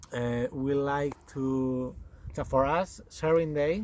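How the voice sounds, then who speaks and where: A man talks with a Spanish accent. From Spain. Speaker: goat farmer and yarn dyer. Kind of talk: casual chat. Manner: halting, many fillers.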